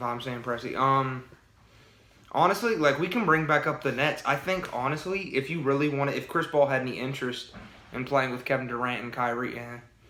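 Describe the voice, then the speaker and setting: A man talks at a fairly quick pace with a fairly high pitch. His pitch varies in an ordinary way, and there is audible room echo. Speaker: sports podcast co-host. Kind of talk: casual sports debate chat. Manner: halting, many repeated words.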